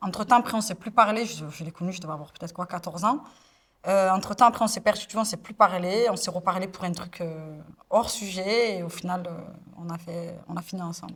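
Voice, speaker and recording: Ordinary pitch variation at a fairly quick pace, with big swings in loudness. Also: woman, medium pitch for a woman. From Marseille, southern France. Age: 20s. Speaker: influencer. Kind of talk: interview testimony. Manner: hesitant, many fillers.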